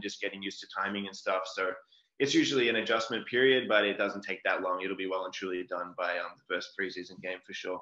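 Speaking at a very fast pace, a man with an Australian accent has a fairly low pitch. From Australia, Melbourne. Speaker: professional football punter. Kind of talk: casual interview.

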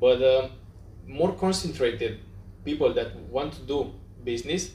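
A man with a Romanian accent sounds somewhat breathy. He speaks at a fairly slow pace with ordinary pitch variation. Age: young. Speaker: podcast host. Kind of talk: interview. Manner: halting.

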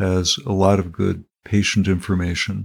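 Soft-spoken and at a fairly slow pace, a man talks with an American accent. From central Pennsylvania, US. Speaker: cancer survivor, retired HR professional. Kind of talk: interview testimony.

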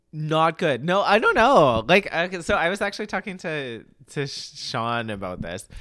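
Vocal fry runs through this man's fairly high voice as his pitch swings very widely. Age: 20s. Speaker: podcast co-host. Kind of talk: casual chat. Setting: drinking wine while recording. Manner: casual filler-heavy speech.

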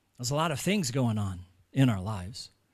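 On a very clean recording with a silent background, a man with an American accent speaks with very wide pitch swings. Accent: American, noticeable. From United States. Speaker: pastor. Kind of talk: sermon.

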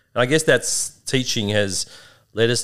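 With an Australian accent, a man speaks at a moderate pace. His pitch variation is ordinary. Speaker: liver doctor and podcast host. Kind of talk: casual conversational podcast. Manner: friendly, joking.

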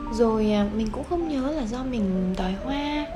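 A woman talks at a fairly slow pace with a fairly high pitch and lively intonation. Audible room echo and noticeable background noise surround her. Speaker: podcast host. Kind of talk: personal storytelling.

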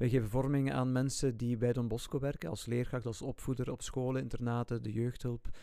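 A man speaks at a fairly quick pace with hardly any pauses, medium pitch and monotone, flat intonation. His tone is dark and mellow. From Flanders, Ghent area. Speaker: Salesian religious brother and former teacher. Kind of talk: casual chat.

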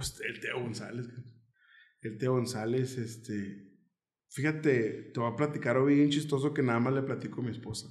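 With audible room echo, a man talks at a moderate pace in a somewhat breathy, medium-pitched voice with fairly even intonation. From Mexico, Nogales, Sonora. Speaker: comedian. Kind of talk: casual chat.

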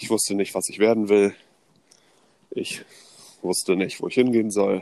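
A man's fairly low voice, fairly slow and in a flat monotone. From northern Germany (Neubrandenburg, Mecklenburg). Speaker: podcast co-host. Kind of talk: casual storytelling chat.

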